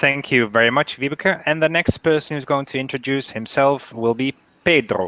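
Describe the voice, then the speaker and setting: This man has a Dutch accent and a bright, sharp tone at a fairly high pitch. He talks at a moderate pace with ordinary pitch variation. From Netherlands. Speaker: university international staff advisor, panel moderator. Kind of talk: online panel discussion. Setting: video call.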